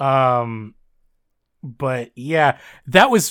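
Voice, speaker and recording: This man's voice has a bright, sharp tone and a fairly high pitch, captured in a very clean recording with a silent background. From Southern Ontario, Canada. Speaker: podcast co-host. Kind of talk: casual chat, podcast discussion of a fanfic. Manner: halting, stumbling, laughs often.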